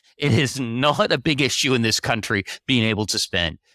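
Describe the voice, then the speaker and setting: In a very clean recording with a silent background, a man's bright, sharp voice moves at a moderate pace in a dry, close sound with no echo. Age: 60s. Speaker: personal finance writer and editor. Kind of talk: podcast interview.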